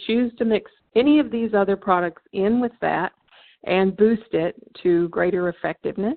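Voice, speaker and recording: In an ordinary speaking voice, the speaker keeps a moderate pace with ordinary pitch variation. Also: woman. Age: 60s. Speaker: network marketing distributor hosting webinar. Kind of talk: sales presentation webinar. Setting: phone conference webinar.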